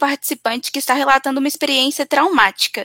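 This woman's voice is raised and projected, pitched high. The tone comes across bright and sharp. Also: dry, close sound with no echo. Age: 20s. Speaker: event moderator. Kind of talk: live Q&A moderation. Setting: online live event, at home.

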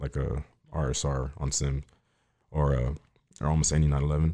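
A man speaks at a moderate pace with an American accent, his very deep, low voice carrying a dark, mellow tone. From Miami, Florida. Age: young. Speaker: car enthusiast. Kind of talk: casual interview chat. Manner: shy, reserved.

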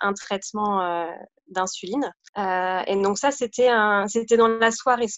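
Intonation fairly even, a woman speaks at a medium pitch. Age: 30s. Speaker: parent of a diabetic child. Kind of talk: testimony. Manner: halting.

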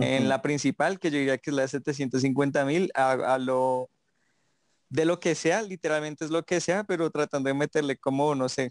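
With a quiet background, a man in an unremarkable speaking voice talks at a fairly slow pace, fairly high in pitch, with fairly even intonation. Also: dry, close sound with no echo. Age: 20s. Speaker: TikToker. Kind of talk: casual chat.

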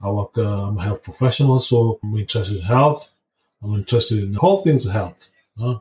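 A somewhat breathy man's voice, fairly low in pitch, at a fairly quick pace. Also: ordinary pitch variation. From Kenya. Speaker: podcast host, health professional. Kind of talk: solo podcast monologue.

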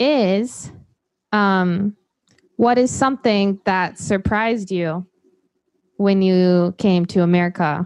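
Against a quiet background, a woman speaks at a very slow pace with very even loudness and long, frequent pauses. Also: medium pitch for a woman, ordinary pitch variation. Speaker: podcast host teaching English to Japanese learners. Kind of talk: casual conversation. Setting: video call.

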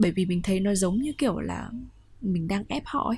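With music playing in the background, a woman speaks at a moderate pace and medium pitch with lively intonation. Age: 20s. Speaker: podcast host. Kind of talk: personal monologue podcast.

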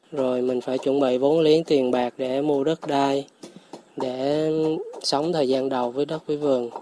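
A man with a fairly high pitch speaks at a fairly slow pace in a monotone, flat intonation. Noticeable background noise is present. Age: 30s. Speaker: forest farm owner, former IT engineer. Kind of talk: radio interview. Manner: casual, with hesitations.

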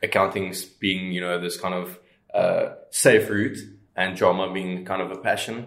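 A man's speech at a moderate pace carries audible echo from the room. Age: 20s. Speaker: startup co-founder. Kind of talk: interview. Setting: outdoors.

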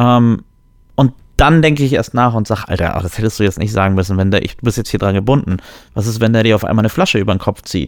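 A man at a very fast pace and fairly low pitch, with ordinary pitch variation, on a very clean recording with a silent background. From Germany. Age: 30s. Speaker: podcast co-host. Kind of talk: casual chat.

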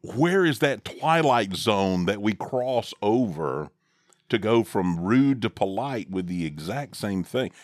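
A man speaks with a Southern US accent at a very slow pace, his fairly low pitch making very wide swings. The recording is very clean, with a silent background. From US South. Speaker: father co-host, podcaster. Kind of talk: casual chat. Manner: jokey, wordy.

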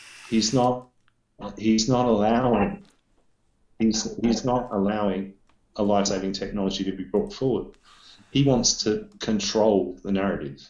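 In an Australian accent, the speaker goes at a fairly slow pace with fairly even intonation and long, frequent pauses. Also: man, fairly low pitch for a man. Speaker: vaping industry professional. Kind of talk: casual chat about vaping news. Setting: video call, shaky internet. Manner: loud, swears a lot.

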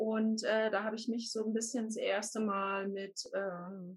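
The woman's voice is somewhat breathy. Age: 40s. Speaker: life coach. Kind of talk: interview.

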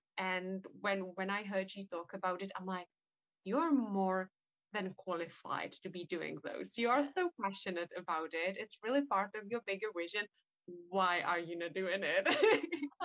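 The speaker has a non-native accent and ordinary pitch variation. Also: woman, medium pitch for a woman. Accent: noticeable non-native English. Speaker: hypnotherapist and podcast host. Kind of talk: podcast interview.

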